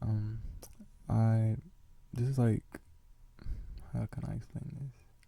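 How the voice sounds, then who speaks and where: Soft-spoken and somewhat breathy, a man whispers. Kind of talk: asmr casual talk. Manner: whispered, soft-spoken.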